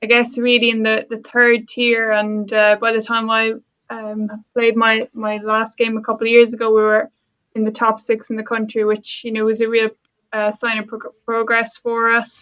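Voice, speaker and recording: A woman speaks in a fairly high voice with a bright, sharp tone and monotone, flat intonation. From Ireland, Waterford (south coast). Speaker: sport psychology lecturer. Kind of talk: podcast interview. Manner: hesitant, many fillers.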